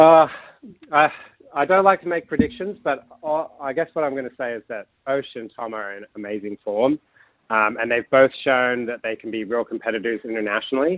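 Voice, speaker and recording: A man with an American accent has an ordinary speaking voice at medium pitch. He talks at a fairly quick pace with lively intonation and big swings in loudness. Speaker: climbing coach. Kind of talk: radio interview.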